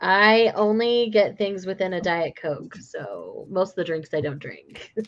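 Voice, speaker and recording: A woman with an American accent speaks at a medium pitch and a fairly slow pace, with ordinary pitch variation and big swings in loudness. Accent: Utah accent, masked to sound generic. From Utah. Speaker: friend on livestream. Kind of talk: casual chat.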